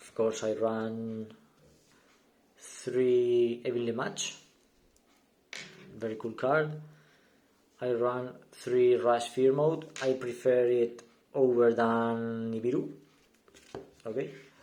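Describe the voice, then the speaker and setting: Speaking at a very slow pace with long, frequent pauses, a man with a non-native accent uses a medium-pitched, dark, mellow voice, fairly even intonation and big swings in loudness, with audible room echo. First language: not English. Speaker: gaming YouTuber. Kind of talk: deck profile tutorial. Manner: halting, many fillers and repeats.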